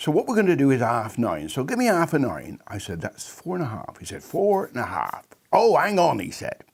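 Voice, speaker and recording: With a West Country accent, a man talks at a fairly quick pace with hardly any pauses, using a fairly high pitch and very wide pitch swings. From England, Bristol. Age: 80s+. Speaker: maths enthusiast explaining a method. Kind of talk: casual explanation.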